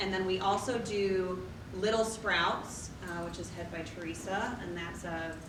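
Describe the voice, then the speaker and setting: At a fairly slow pace, a woman speaks with medium pitch and fairly even intonation. Noticeable background noise and audible room echo fill the recording. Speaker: farmers market organizer and grower. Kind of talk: training presentation.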